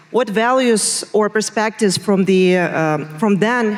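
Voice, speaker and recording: Noticeable background noise sits behind a woman's voice. She has a medium pitch and lively intonation. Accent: Russian. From Russia. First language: Russian. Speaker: interviewer. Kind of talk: on-stage interview. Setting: stage with audience.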